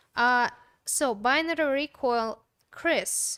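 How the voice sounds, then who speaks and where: Someone with a non-native accent speaks with ordinary pitch variation in a very clean recording with a silent background and a dry, close sound with no echo. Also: woman. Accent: foreign. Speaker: co-host, host's wife. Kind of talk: live stream chat, reading comments.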